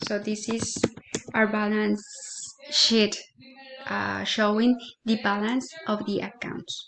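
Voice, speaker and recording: Her fairly high voice stays monotone and flat as the woman speaks at a very slow pace with long, frequent pauses. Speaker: student. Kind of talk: tutorial. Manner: hesitant, many fillers.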